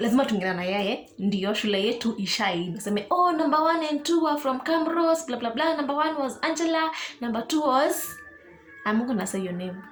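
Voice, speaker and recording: Over music in the background, a woman talks at a fairly quick pace and a high pitch with very wide pitch swings and audible room echo. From Kenya, Kiambu County. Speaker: YouTuber. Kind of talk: casual Q&A vlog. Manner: code-switching English and Swahili.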